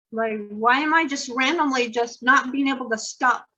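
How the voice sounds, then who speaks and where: Projecting a raised voice at a moderate pace, a woman with an American accent has a high pitch, a bright, sharp tone, and ordinary pitch variation. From Idaho and Utah, US. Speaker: poet and author. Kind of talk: interview. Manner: halting.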